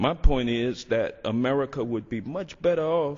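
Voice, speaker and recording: At a moderate pace, a man's speech rises and falls with lively intonation. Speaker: congressman. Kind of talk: legislative floor speech. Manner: sarcastic, mocking.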